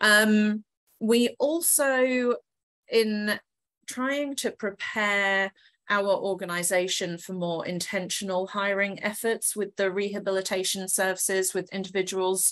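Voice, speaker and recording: At a fairly slow pace, a woman with an English accent speaks at a medium pitch with ordinary pitch variation over a quiet background. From England. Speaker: corporate HR professional. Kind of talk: webinar presentation.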